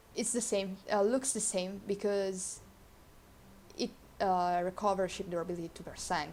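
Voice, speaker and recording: Speaking at a fairly slow pace, a woman with a medium pitch talks with a non-native accent. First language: not English. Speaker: video game guide creator. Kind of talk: tutorial. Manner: halting.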